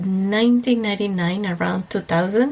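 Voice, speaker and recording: Over noticeable background noise, a woman speaks with an Ecuadorian accent at a medium pitch. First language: Spanish. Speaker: wedding planner. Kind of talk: casual interview.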